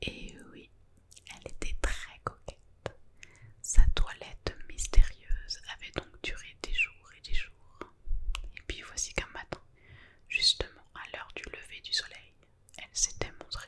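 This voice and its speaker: Over noticeable background noise, a woman whispers very slowly, pausing long and often as her volume rises and falls sharply. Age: 20s. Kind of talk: whispered bedtime book reading. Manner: whispered.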